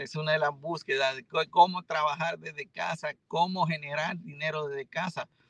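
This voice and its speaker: Recorded dry and close with no echo, a man with a normal speaking voice talks at a fairly high pitch with ordinary pitch variation. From Dominican Republic, Santiago (Cibao valley). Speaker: doctor and entrepreneur. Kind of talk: interview. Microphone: unstable connection, dropped out.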